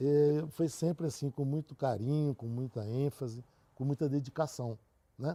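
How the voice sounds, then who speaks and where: A man speaks at a fairly slow pace in a fairly high voice with a dark, mellow tone. His intonation is fairly even, and the sound is dry and close with no echo. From Brazil, Catalão, Goiás. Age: 60s. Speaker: engineer. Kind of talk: interview.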